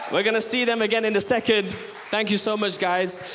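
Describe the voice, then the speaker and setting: Against noticeable background noise and audible room echo, a man speaks with a Midlands accent. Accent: Midlands twang. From Leicester, English East Midlands. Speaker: poet and rapper. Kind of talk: stage thank-yous to audience. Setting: theatre stage with audience.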